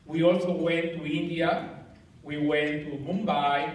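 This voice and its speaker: A man's fairly high voice at a fairly slow pace, with audible room echo. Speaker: engineering society president. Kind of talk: farewell speech. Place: hall. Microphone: camera far.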